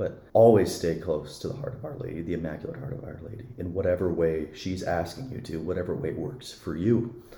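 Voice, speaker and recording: A man with an American accent, very deep and low, fairly quick and lively with hardly any pauses, big swings in loudness and audible room echo. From Montana (Billings). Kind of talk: interview about faith.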